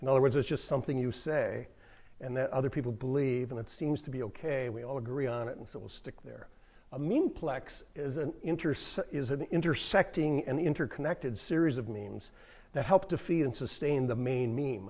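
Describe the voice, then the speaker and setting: A man with an unremarkable speaking voice talks at a fairly quick pace with medium pitch, ordinary pitch variation and big swings in loudness. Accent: American. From United States (came from New Zealand at five). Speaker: activist speaker. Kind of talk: public lecture. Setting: public library event with audience.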